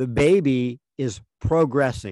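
Medium in pitch with ordinary pitch variation, a man talks in a normal speaking voice. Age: 60s. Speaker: podcast co-host. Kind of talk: casual chat.

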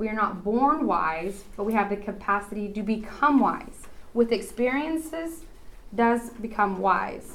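With audible room echo around her, a woman with an American accent speaks at a fairly slow pace, medium in pitch and lively in intonation. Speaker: women's conference speaker. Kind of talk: talk at women's Bible conference.

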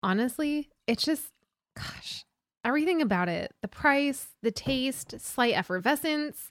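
In a very clean recording with a silent background, a woman speaks fairly slowly in a high pitch and an animated tone. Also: dry, close sound with no echo. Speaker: wine podcast host. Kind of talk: casual chat.

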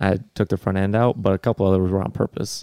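A man's fairly low, dark, mellow voice at a fairly quick pace, with ordinary pitch variation, in a dry, close sound with no echo and a very clean recording over a silent background. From North Dakota (near Bismarck). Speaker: motocross racer and math teacher. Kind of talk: casual chat.

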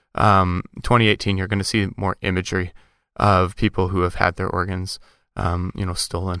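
This man speaks with a Canadian accent in a very deep, low pitch, his tone bright and sharp and his intonation flat and monotone, on a very clean recording with a silent background. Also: dry, close sound with no echo. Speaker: podcast co-host. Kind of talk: casual chat. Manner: bursts of rapid speech.

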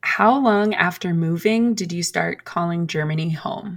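Bright and sharp in tone, a woman with an American accent speaks at a moderate pace with ordinary pitch variation. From US, Philadelphia suburbs. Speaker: friend of the host. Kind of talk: casual chat.

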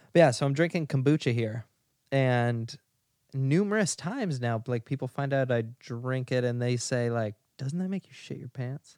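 The man has an ordinary speaking voice at a medium pitch, moving at a moderate pace with ordinary pitch variation. The recording is very clean and dry, close with no echo, over a silent background. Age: 20s. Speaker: podcast co-host. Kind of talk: casual chat. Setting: sitting in bed at home.

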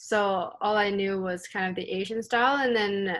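In a Canadian accent, a woman speaks at a medium pitch and moderate pace with fairly even intonation. She has a normal speaking voice, and the recording is very clean with a silent background. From Canada. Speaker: badminton player. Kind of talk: interview.

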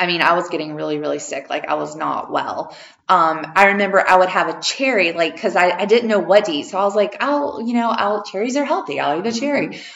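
Over noticeable background noise, a woman races along at a very fast pace in an animated, excited tone, with very wide pitch swings and hardly any pauses. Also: medium pitch for a woman. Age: 50s. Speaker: podcast host and holistic healer. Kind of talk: casual interview chat. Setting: in person, same room.

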